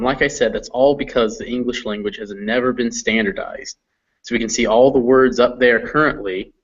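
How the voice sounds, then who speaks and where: In a normal speaking voice with a General American accent, a man talks at a fairly quick pace and medium pitch with fairly even intonation. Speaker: English teacher. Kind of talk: online class. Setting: video call.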